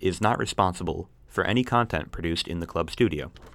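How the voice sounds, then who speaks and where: A man talks at a moderate pace, his pitch swinging very widely, on a very clean recording with a silent background. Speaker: podcast co-host. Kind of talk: casual banter about video games. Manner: joking, bantering.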